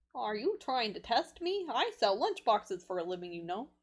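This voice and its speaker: A put-on character voice at a moderate pace, full of very wide pitch swings. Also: woman, fairly high pitch for a woman. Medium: game stream. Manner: brash, cocky.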